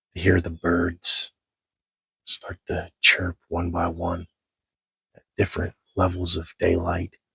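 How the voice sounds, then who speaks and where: Quietly, a man does a put-on character voice that is very deep, low and raspy, delivered in a flat monotone. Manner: talking low, quiet.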